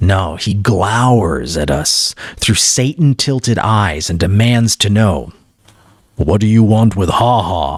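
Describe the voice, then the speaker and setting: Using a put-on character voice, a man speaks at a fairly low pitch and a fairly slow pace. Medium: read story.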